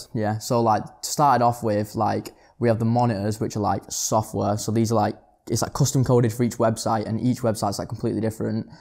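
A man at a very fast pace, medium in pitch, with vocal fry and monotone, flat intonation over a quiet background. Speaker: reselling platform co-founder; podcast guest. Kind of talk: casual interview. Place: studio. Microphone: lapel.

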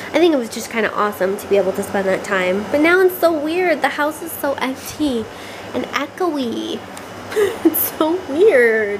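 There is noticeable background noise as a woman speaks at a moderate pace in a high voice with big swings in loudness. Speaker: home vlogger. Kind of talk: casual vlog chat. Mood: cheerful, laughing. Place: home room. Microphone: phone near.

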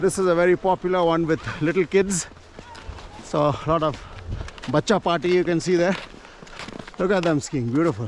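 Light background noise sits under a man's high-pitched voice, his intonation fairly even and the sound dry with no echo. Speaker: hiking vlogger. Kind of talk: casual vlog chat. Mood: cheerful, laughing. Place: open country. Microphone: phone near.

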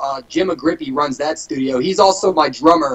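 Speaking at a fairly quick pace, a man uses lively intonation. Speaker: guest. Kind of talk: interview answer. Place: home room. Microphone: video call.

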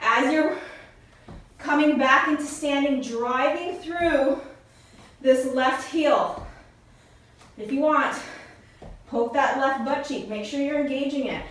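Strong room echo fills the space as a woman speaks at a high pitch and a very slow pace. Her intonation is fairly even, with long, frequent pauses. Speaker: fitness instructor. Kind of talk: workout instruction. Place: home room. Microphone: camera far.

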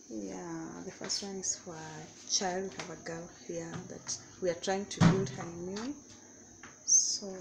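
Background noise is noticeable. The voice belongs to a woman. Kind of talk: casual vlog chat. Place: kitchen. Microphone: phone near.

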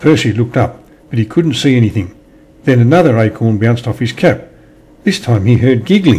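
Someone reads the words out. The reading is plain.

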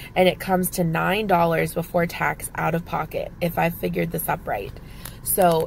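A woman with fairly low pitch and ordinary pitch variation uses a normal speaking voice. Light background noise is heard in a dry sound with no echo. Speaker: couponing vlogger. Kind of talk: casual vlog chat. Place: car. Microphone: phone near.

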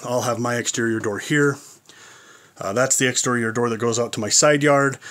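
A man is speaking. His intonation is fairly even. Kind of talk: casual vlog chat. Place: workshop. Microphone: phone near.

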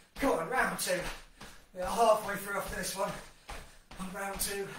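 There is light background noise and audible room echo as a man speaks in a high pitch. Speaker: fitness instructor. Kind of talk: workout class instruction. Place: kitchen. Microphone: camera far.

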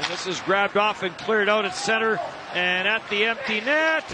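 A man with a high-pitched voice projects it loudly at a moderate pace. Noticeable background noise sits behind him. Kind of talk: hockey play-by-play commentary. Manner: rattles off passes and shots in a continuous stream.

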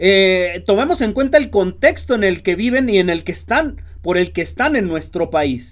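Against a quiet background, a man speaks in an animated tone at a fairly slow pace. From Mexico. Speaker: political commentary youtuber. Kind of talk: political commentary monologue. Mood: indignant, sarcastic. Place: home room.

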